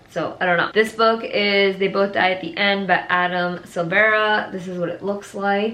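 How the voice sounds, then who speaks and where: Noticeable background noise accompanies a woman talking at a medium pitch. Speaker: book youtuber. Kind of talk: casual vlog talk. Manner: animated.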